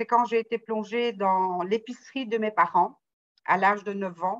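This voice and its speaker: With a normal speaking voice, a woman talks at a fairly slow pace, fairly high in pitch with fairly even intonation. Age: 60s. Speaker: salesperson retraining as closer. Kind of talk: interview testimony.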